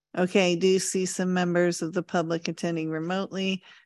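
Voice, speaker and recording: In an ordinary speaking voice, a woman speaks at a medium pitch and a moderate pace against a quiet background. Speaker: meeting secretary. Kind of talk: procedural announcements.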